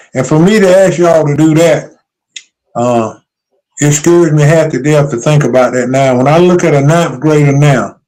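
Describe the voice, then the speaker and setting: A man speaks with an American accent in a dark, mellow tone, his pitch varying in an ordinary way. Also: fairly high pitch for a man, moderate pace, very even loudness. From North Carolina. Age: 70s. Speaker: retired basketball coach. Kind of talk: interview.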